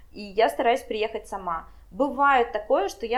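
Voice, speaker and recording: With an unremarkable speaking voice, a woman talks at a moderate pace and a fairly high pitch, with ordinary pitch variation. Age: 20s. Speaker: wedding planner. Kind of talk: casual interview.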